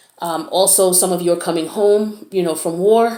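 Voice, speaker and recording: A woman uses a normal speaking voice at a medium pitch, her intonation fairly even. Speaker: tarot reader. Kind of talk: tarot reading.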